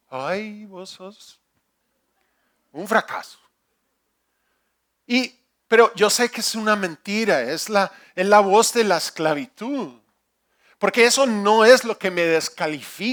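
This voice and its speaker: A man with a non-native accent and a high pitch, at a very slow pace with long, frequent pauses, big swings in loudness and ordinary pitch variation, in a very clean recording with a silent background. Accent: non-native Spanish, imperfect. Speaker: pastor. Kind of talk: sermon. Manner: halting, with repetitions.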